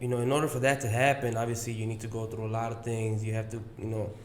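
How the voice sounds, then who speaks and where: A man with an American accent talks at a fairly quick pace and a medium pitch. Audible room echo and noticeable background noise are present. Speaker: podcast host. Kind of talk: casual chat. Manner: monotone; relaxed.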